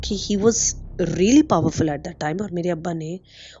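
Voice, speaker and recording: A woman speaks at a medium pitch. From Pakistan, Karachi. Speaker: listener sharing a personal story. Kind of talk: personal storytelling voice note. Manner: halting, many fillers.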